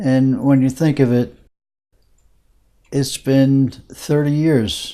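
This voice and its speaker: A man with an American accent talks at a very slow pace. His voice has a medium pitch and a dark, mellow tone. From New Jersey. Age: 80s+. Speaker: retired model aircraft hobbyist. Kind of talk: personal life story interview. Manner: halting, many fillers.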